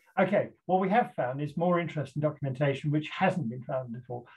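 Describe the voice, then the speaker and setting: A somewhat breathy man's voice with ordinary pitch variation against a quiet background. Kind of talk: lecture. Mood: animated, indignant about fake map. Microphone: video call.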